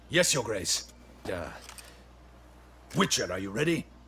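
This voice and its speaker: Using a raspy put-on character voice, a man speaks at a medium pitch and moderate pace with very wide pitch swings, over clear background noise. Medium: video game. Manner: stiff, dutiful.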